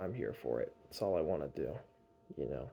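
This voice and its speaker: A man's dark, mellow voice with vocal fry and an American accent. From North Carolina. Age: 20s. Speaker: vlogger. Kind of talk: casual vlog monologue. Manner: casual, hesitant with fillers.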